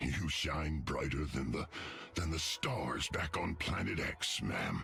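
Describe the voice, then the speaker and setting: Over music in the background, a man does a put-on character voice that is raspy, very deep and low in pitch, at a fairly slow pace. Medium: video game.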